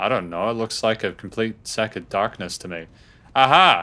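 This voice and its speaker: A man speaks at a moderate pace with a fairly low pitch. His tone is bright and sharp over light background noise. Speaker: gaming YouTuber. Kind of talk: let's play commentary. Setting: home recording with webcam. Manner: animated.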